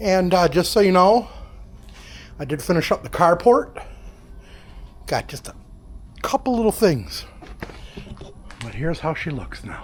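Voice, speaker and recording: Noticeable background noise is audible. Through it, a man whispers. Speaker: DIY vlogger. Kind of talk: casual vlog narration. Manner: casual; whispering.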